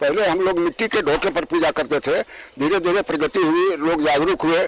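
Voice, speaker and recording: A man talks at a moderate pace in a high voice, with fairly even intonation and very even loudness. The sound is dry and close, without echo. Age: 80s+. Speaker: elderly local resident. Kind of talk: on-site news interview.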